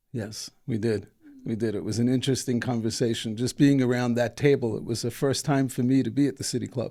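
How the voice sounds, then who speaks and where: A man speaks at a fairly quick pace with a dark, mellow tone. His intonation stays fairly even. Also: medium pitch for a man. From New York. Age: 60s. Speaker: entrepreneur and foundation founder. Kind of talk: interview. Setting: studio. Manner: hesitant, many fillers.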